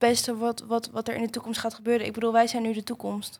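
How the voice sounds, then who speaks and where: The speaker is a woman. She talks with a fairly high pitch. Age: young. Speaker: vocational student. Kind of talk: political discussion.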